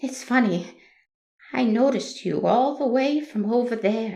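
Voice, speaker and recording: A woman does a shaky, put-on character voice at a high pitch. She keeps a moderate pace, with audible echo. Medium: audio drama. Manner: sweet, fawning, overly familiar.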